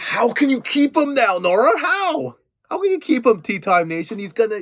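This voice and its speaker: Loud and extremely high-pitched, a man talks at a moderate pace with very wide pitch swings. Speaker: podcast host. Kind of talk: casual chat. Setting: home recording. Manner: animated; halting.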